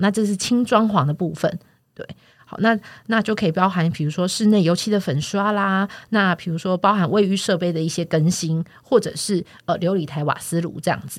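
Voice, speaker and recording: A woman's ordinary speaking voice at a medium pitch, with ordinary pitch variation and a moderate pace. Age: 40s. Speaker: real estate platform podcast host. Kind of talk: casual chat.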